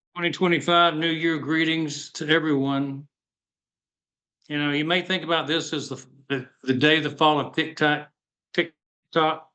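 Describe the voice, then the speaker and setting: Fairly slow speech with long, frequent pauses, a bright, sharp tone and monotone, flat intonation. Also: man, fairly high pitch for a man. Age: 70s. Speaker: retired dentist and business community speaker. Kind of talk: motivational talk on a video call.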